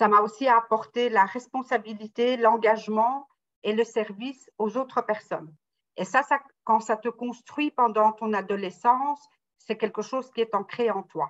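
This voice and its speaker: A woman with an unremarkable speaking voice, fairly high in pitch, with fairly even intonation. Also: fairly slow pace. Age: 60s. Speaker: salesperson retraining as closer. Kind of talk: interview testimony.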